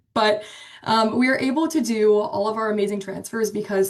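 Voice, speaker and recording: Speaking at a medium pitch and moderate pace, a woman with a Pennsylvania accent shows ordinary pitch variation. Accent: American, Pennsylvania. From Pennsylvania, Pittsburgh, US. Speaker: marketing specialist, webinar presenter. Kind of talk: webinar presentation. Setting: online webinar. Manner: many filler ums, casual.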